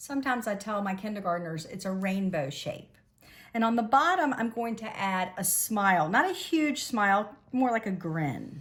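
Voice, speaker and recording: Somewhat breathy speech at a moderate pace, with lively intonation and big swings in loudness. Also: woman. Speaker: elementary school art teacher. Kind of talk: tutorial.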